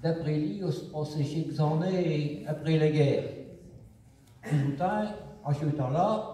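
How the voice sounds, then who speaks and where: Very slow speech from a man at a fairly high pitch, with ordinary pitch variation and long, frequent pauses. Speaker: storyteller in regional dialect. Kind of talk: comic folk tale told on stage. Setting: live stage performance.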